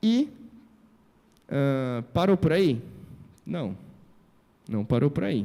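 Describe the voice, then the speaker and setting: Dark, mellow tone at a very slow pace, with long, frequent pauses and very wide pitch swings. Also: man, fairly high pitch for a man. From Brazil, Presidente Prudente, São Paulo state. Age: 30s. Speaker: civil engineer and entrepreneur. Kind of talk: motivational talk.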